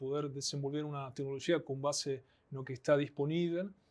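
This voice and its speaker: With an Argentine accent, the speaker goes at a fairly slow pace with fairly even intonation in a very clean recording with a silent background. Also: man. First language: Spanish (speaking Portuguese). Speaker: anthropologist, network analysis specialist. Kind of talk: podcast interview.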